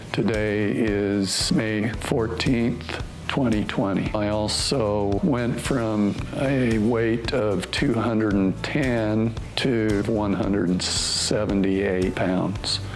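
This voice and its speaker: A man's fairly low voice at a very slow pace, with fairly even intonation, very even loudness, audible room echo and noticeable background noise. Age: 60s. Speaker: patient giving testimonial. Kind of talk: testimony. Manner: hesitant, with fillers.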